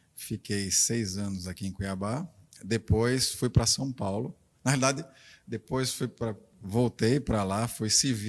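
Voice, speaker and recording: Recorded very cleanly against a silent background, a man with a northeastern Brazilian accent speaks at a fairly slow pace. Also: medium pitch for a man, ordinary pitch variation. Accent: northeastern Brazilian, Rio Grande do Norte. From Rio Grande do Norte, Brazil.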